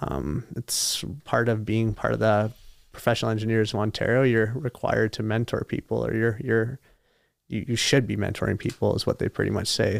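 A Canadian accent is heard here. The speech moves at a moderate pace. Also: man, very clean recording, silent background. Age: 20s. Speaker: engineer and bodybuilder. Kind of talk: casual interview chat. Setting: studio.

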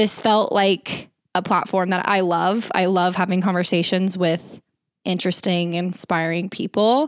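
A woman with an ordinary speaking voice, medium in pitch, with a General American accent, on a very clean recording with a silent background. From Arizona. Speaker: digital media consultant and podcast host. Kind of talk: casual interview.

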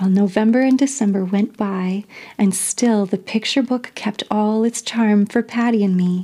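What you hear is a natural reading voice.

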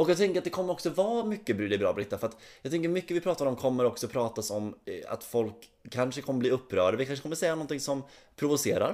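Very fast speech carries pitch that swings very widely. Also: man, fairly high pitch for a man. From Västergötland, western Sweden. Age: 30s. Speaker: podcast co-host, performer.

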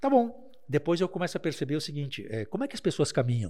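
Talking at a fairly quick pace, this man sounds somewhat breathy. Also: very clean recording, silent background. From Taquara, Rio Grande do Sul, Brazil. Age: 50s. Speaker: lawyer. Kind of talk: casual chat.

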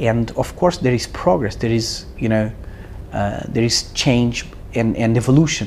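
Over noticeable background noise, a man with a Portuguese accent talks fairly slowly at a medium pitch. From Portugal. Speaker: startup CEO. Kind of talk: casual interview.

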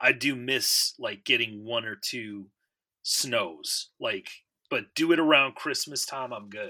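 This man talks at a very slow pace, his pitch varying in an ordinary way. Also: medium pitch for a man, big swings in loudness. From Michigan. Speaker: podcast co-host, bass player. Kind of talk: casual chat. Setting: remote call.

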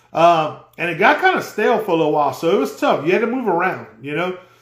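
Amid audible room echo, a man talks at a fairly quick pace with a high pitch. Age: 40s. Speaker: outdoors podcast host. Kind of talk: casual solo podcast talk. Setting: live stream on social media.

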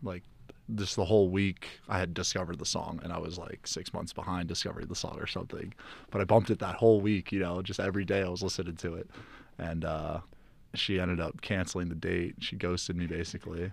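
A man with a very deep, low pitch, fairly even intonation and a very fast pace. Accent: American. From South Florida. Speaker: college student. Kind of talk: casual chat.

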